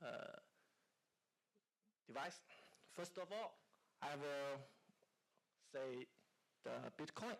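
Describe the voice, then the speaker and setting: Speaking with a Chinese accent, a man with a fairly high pitch talks at a very slow pace with long, frequent pauses, very even loudness and ordinary pitch variation. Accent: Mandarin Chinese. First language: Mandarin. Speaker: company founder. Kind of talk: conference talk. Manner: halting.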